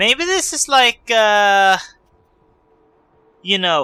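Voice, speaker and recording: Music plays behind speech delivered at a very slow tempo. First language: not English. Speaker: let's play gamer. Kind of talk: gameplay commentary. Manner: casual, hesitant with fillers.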